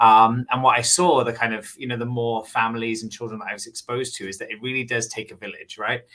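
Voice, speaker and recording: A very fast, monotone male voice of medium pitch, flat in intonation, with hardly any pauses and big swings in loudness. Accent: Welsh. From Wales. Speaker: business owner, former teacher. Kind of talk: interview.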